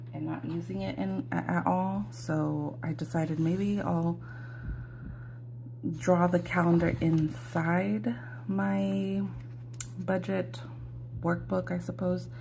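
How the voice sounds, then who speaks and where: There is noticeable background noise and audible room echo. Through it, a woman speaks at a very slow pace. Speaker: budgeting vlogger. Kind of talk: casual tutorial. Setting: home, morning, ring light. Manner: hesitant, many fillers.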